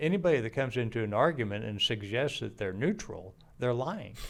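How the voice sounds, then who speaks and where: A man's voice at a moderate speed, its pitch varying in an ordinary way. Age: 60s. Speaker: podcast host, fathering ministry founder. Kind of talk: casual chat. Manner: halting.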